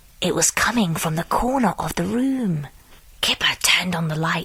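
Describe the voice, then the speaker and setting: Over noticeable background noise, a woman with a fairly low pitch talks at a moderate pace with very wide pitch swings. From United Kingdom. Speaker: voice actor. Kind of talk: children's story reading.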